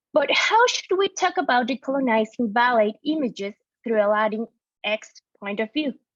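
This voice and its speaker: A woman with a Mexican accent and a high pitch speaks at a moderate pace with lively intonation. The sound is dry and close, with no echo. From Mexico. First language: Spanish. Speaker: art historian and dance researcher. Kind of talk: conference talk. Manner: halting with self-corrections.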